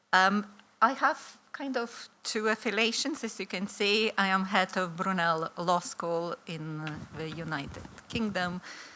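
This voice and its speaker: Bright, sharp tone in a Lithuanian accent, at a fairly slow pace. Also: woman, medium pitch for a woman, lively intonation. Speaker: law professor. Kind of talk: conference presentation. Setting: conference hall with audience. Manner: hesitant, many fillers.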